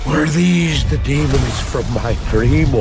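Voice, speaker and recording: Against loud background noise, a man puts on a character voice at a fairly slow pace. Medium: short film. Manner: nervous, stammering.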